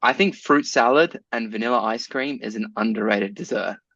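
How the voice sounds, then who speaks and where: In a South African accent, a man speaks at a fairly quick pace and medium pitch. His tone is bright and sharp, with ordinary pitch variation. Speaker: podcast co-host. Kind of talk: casual chat.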